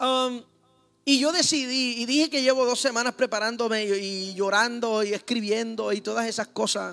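The speaker is a man with an extremely high pitch. He sounds animated and talks at a moderate pace. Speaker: pastor. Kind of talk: sermon.

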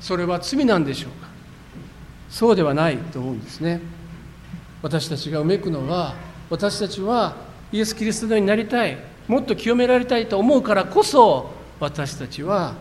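With lively intonation and a high pitch, a man speaks at a moderate pace, broken by long, frequent pauses. The recording has audible room echo and noticeable background noise. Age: 50s. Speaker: pastor. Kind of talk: sermon.

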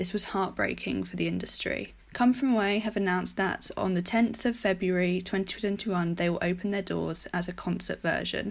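A woman's voice with vocal fry, fairly even intonation, a moderate pace and few pauses. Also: fairly low pitch for a woman.

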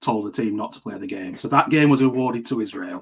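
A man speaks with a Lancashire accent at medium pitch. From Lancashire, northern England. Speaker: cricket writer and associate cricket expert. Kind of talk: podcast interview.

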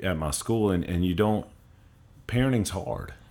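This man speaks with a Louisiana accent. His pitch variation is ordinary. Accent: Louisiana Southern. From Louisiana, Covington. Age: 30s. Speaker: middle school principal. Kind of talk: casual chat. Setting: studio.

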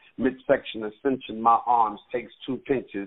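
In an American accent, a man speaks at a fairly slow pace and medium pitch with monotone, flat intonation. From US Midwest. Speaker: poet. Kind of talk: poetry reading. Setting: phone call.

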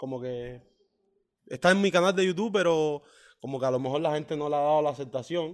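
A man speaks in a Cuban accent with ordinary pitch variation. The recording is very clean, with a silent background. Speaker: professional footballer and songwriter. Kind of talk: interview. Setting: hotel lobby.

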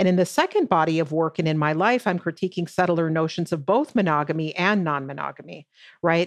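Against a quiet background, a woman with a normal speaking voice, fairly low pitch and ordinary pitch variation talks at a fairly quick pace. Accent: American. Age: 50s. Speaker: professor. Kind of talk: interview.

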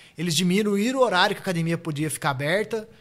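Talking at a fairly quick pace, a man speaks with a high pitch. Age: 30s. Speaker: jiu-jitsu fighter. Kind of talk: casual chat.

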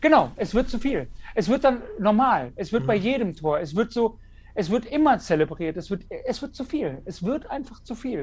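A man with an extremely high pitch talks at a moderate pace, his intonation lively. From Wuppertal, western Germany. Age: 30s. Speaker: football fan content creator. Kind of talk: casual chat.

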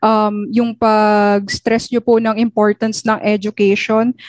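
Very slowly and in a monotone, flat intonation, a woman with a fairly high pitch speaks in a dry, close sound with no echo. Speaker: student podcast co-host. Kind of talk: casual chat.

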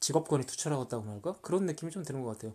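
On a very clean recording with a silent background, a man with a fairly high pitch and a dark, mellow tone speaks with lively intonation. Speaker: podcast host, book reviewer. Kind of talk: casual chat about movies.

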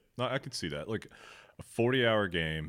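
A man speaks at a moderate pace with vocal fry, on a very clean recording with a silent background. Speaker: podcast host. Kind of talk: casual chat.

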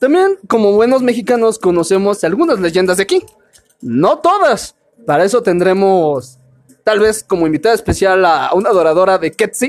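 With lively intonation and very even loudness, a man talks at a moderate pace. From Mexico, Veracruz. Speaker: podcast host. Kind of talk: casual chat.

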